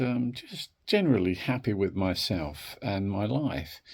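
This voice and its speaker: The recording is very clean, and the background is silent. A man speaks very slowly. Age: 60s. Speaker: wellbeing video creator. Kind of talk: reflective talk to camera. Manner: hesitant, with fillers.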